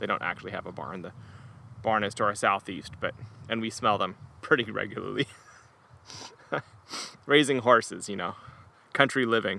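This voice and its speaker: The man's loudness swings widely while his pitch varies in an ordinary way, and the sound is dry with no echo. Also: fairly quick pace. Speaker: beer reviewer. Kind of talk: casual tasting review. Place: garden. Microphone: studio mic.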